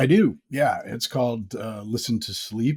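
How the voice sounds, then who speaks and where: A somewhat breathy man at a medium pitch talks at a moderate pace with lively intonation. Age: 50s. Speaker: sleep story podcaster. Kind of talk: casual chat.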